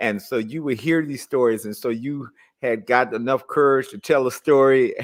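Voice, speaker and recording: In a very clean recording with a silent background, a man with an American accent uses a normal speaking voice at medium pitch, keeping a moderate pace and fairly even intonation amid big swings in loudness. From US, East Oakland. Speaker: radio host. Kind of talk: interview. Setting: radio interview.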